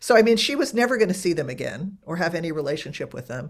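A woman speaks in a normal speaking voice with lively intonation. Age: 60s. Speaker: author and writing teacher. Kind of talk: casual chat.

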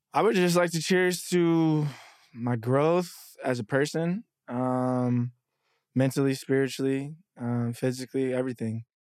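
An ordinary speaking voice from a man with an American accent, medium pitch, ordinary pitch variation and a fairly slow pace, on a very clean recording with a silent background. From Dallas, Texas. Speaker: content creator and marketing agency owner. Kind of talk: casual interview chat.

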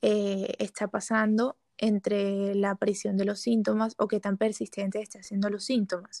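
A woman talks at a fairly slow pace in a medium pitch, her tone dark and mellow and her intonation monotone and flat. The recording is very clean with a silent background and a dry, close sound with no echo. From Colombia, Barranquilla. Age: 20s. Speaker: psychology student. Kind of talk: casual chat.

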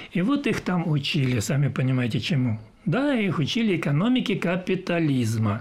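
With very wide pitch swings and very even loudness, a man speaks at a moderate pace in a high voice. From southern Russia, Adygea (Maykop). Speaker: retired sea captain. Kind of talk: interview.

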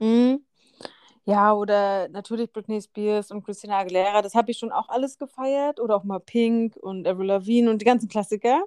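In an unremarkable speaking voice, a woman talks fairly quickly at a fairly high pitch with fairly even intonation. The sound is dry and close, with no echo. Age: 30. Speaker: podcast co-host. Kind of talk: casual chat.

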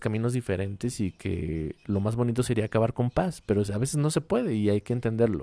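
With a Mexican accent, a man talks in a fairly low pitch and a dark, mellow tone with ordinary pitch variation. The sound is dry and close, without echo. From Mexico. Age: 20s. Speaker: podcast host. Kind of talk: casual monologue.

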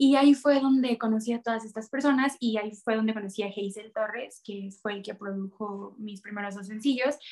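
An unremarkable speaking voice moves at a fairly quick pace with hardly any pauses. Its intonation is fairly even, while its loudness swings widely. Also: woman, fairly high pitch for a woman. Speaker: singer-songwriter. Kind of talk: interview.

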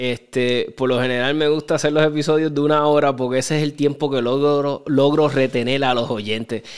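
A man with a Puerto Rican accent, monotone, flat intonation and very even loudness. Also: fairly high pitch for a man, fairly quick pace. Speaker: podcast host. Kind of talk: casual interview.

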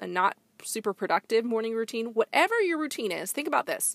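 A woman with a fairly high pitch speaks fairly quickly in an animated tone with very wide pitch swings, in a very clean, dry, close recording with a silent background and no echo. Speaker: business leadership coach, podcast host. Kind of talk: solo podcast monologue, motivational.

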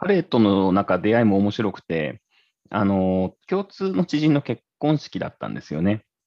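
A man with a normal speaking voice and fairly low pitch speaks at a moderate pace. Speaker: tech entrepreneur, former engineer. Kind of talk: casual chat.

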